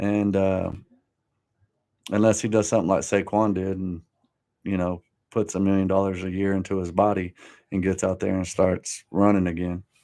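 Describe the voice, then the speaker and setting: A man's very deep, low voice, dark and mellow in tone, with monotone, flat intonation, a moderate pace and long, frequent pauses. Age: 40s. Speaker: podcast host. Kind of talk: live-stream sports talk. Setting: home studio live stream. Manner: casual, slangy.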